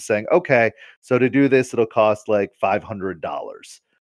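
An unremarkable speaking voice comes with fairly even intonation in a dry, close sound with no echo against a quiet background. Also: man. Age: 30s. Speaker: tabletop gaming website founder. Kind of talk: interview.

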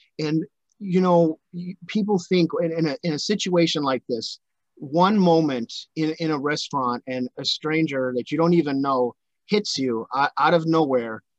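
With an ordinary speaking voice, a man talks at a moderate pace, his fairly high pitch showing ordinary variation in a dry, close sound with no echo. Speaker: podcast host. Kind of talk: interview, casual conversation.

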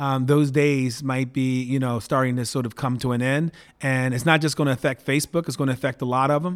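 An unremarkable speaking voice from a man with an American accent, medium pitch, fairly even intonation and a moderate pace. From Baltimore, Maryland (US East Coast). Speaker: tech entrepreneur. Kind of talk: interview.

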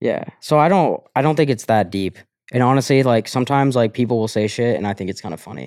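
Very fast speech comes from a man with an American accent at a medium pitch. The recording is very clean with a silent background, and his pitch varies in an ordinary way. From Colorado. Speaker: content creator. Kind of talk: casual chat.

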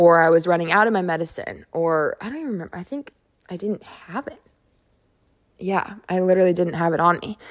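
A woman talks fairly quickly, with big swings in loudness and ordinary pitch variation. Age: 20s. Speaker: solo podcast host. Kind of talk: casual monologue. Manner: fast; animated.

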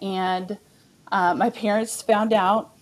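In a Texan accent, a woman speaks at a fairly slow pace and medium pitch with fairly even intonation. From Texas, Amarillo. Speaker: biblical counselor and author. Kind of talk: testimony.

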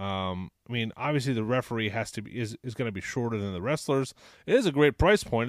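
On a very clean recording with a silent background, a man of medium pitch talks very fast with ordinary pitch variation. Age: 30s. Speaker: toy collecting podcast host. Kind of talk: casual chat.

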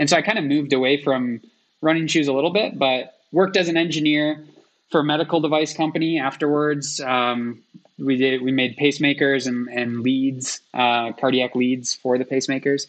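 An American-accented man talks at a moderate pace, his fairly high pitch showing ordinary variation. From Michigan, US. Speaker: sport physiologist and ultramarathon runner. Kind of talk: interview.

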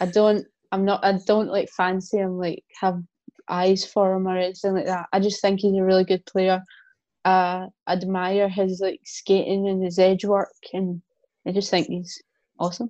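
Speaking in a Scottish accent, a woman uses a dark, mellow tone at medium pitch and moderate pace, her intonation monotone and flat, in a dry, close sound with no echo. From Scotland. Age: 20s. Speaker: hockey player and influencer. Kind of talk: casual interview chat. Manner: trying to speak proper, more formal than usual.

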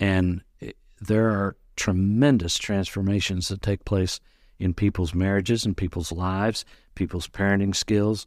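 An unremarkable speaking voice moves at a fairly slow pace with fairly even intonation, recorded very cleanly with a silent background and a dry, close sound with no echo. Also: man, fairly low pitch for a man. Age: 60s. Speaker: personality consultant. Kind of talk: interview.

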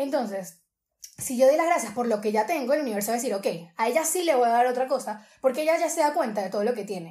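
A woman with a Venezuelan accent speaks at a very fast pace, her high pitch carrying a dark, mellow tone and lively intonation. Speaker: social media creator. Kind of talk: casual interview chat.

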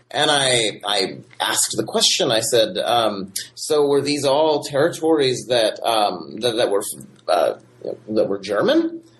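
A man's medium-pitched voice with lively intonation, a fairly slow pace and very even loudness, over noticeable background noise. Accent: American. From Michigan, US Midwest. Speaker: history professor. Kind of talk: interview. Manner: halting with many fillers.

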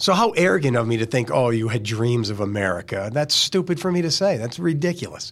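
A man talks at a very fast pace with hardly any pauses, his pitch swinging very widely. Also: medium pitch for a man. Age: 50s. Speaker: podcast host. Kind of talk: casual chat. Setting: studio. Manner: joking.

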